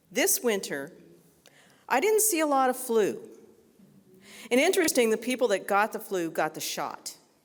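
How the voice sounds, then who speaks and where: A woman with a high pitch, very wide pitch swings and long, frequent pauses, on a very clean recording with a silent background. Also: moderate pace. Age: 60s. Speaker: nurse. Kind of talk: unscripted talk to an audience.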